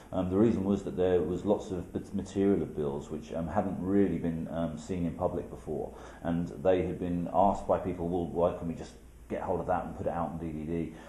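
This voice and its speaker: A man with a British accent, a very deep, low pitch, a fairly quick pace and fairly even intonation, with audible room echo. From UK. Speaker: documentary filmmaker. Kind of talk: interview. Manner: hesitant, many fillers.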